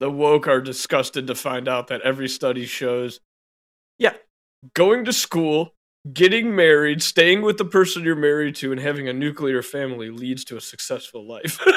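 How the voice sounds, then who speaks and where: A man's normal speaking voice at a moderate pace, fairly high in pitch with ordinary pitch variation. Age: 30s. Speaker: podcast co-host. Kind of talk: casual chat.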